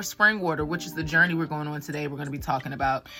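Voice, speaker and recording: A woman's voice with a very deep, low pitch. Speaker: wellness vlogger and life coach. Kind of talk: casual vlog monologue. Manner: fast.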